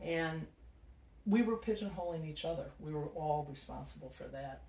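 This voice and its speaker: Audible room echo surrounds a man with an American accent. He speaks at a moderate pace. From Chicago, South Side. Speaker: nonprofit founder. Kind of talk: interview.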